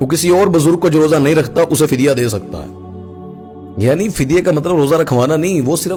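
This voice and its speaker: Over music in the background, the voice moves through very wide pitch swings. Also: man. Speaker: Islamic scholar. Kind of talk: religious sermon.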